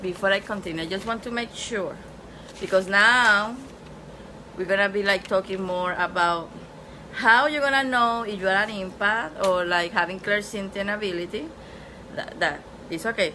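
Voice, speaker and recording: With audible room echo and noticeable background noise, a woman with a non-native accent speaks with ordinary pitch variation and long, frequent pauses. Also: medium pitch for a woman, moderate pace. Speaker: spiritual teacher. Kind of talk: online class lecture. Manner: casual, repetitive filler.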